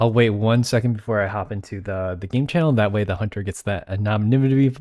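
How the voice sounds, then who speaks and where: A man with a fairly low pitch talks in a normal speaking voice at a fairly quick pace. His pitch varies ordinarily, on a very clean recording with a silent background. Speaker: tournament host and game commentator. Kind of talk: live commentary.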